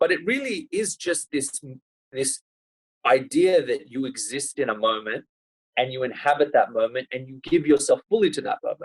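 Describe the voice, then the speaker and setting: The sound is close and dry, without any echo. A man speaks at a moderate speed. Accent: Australian. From Australia, Sydney. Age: 30s. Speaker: lawyer and human rights activist. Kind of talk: podcast interview.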